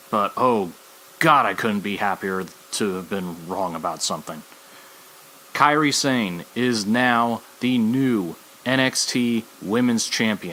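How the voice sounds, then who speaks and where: Noticeable background noise runs under a man speaking very slowly. His pitch sits in the medium range with ordinary pitch variation. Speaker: wrestling podcast host. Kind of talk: solo podcast commentary. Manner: animated.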